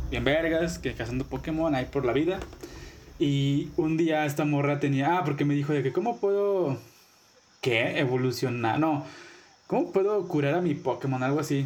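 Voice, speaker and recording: With a Mexican accent, a man speaks at a moderate pace and fairly high pitch, keeping his loudness very even. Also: ordinary pitch variation. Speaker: podcast co-host. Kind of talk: casual chat.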